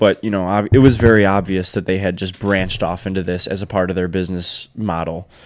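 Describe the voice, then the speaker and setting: Very fast and with hardly any pauses, a man with an American accent speaks at a very deep, low pitch and fairly even intonation, in a very clean recording with a silent background. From Michigan, Detroit downriver area. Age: 20s. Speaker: wedding photographer and videographer, business owner. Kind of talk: casual interview chat.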